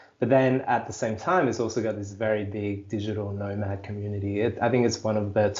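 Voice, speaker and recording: A man with a fairly low pitch and an Australian accent. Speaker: life coach and digital creator. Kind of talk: podcast interview.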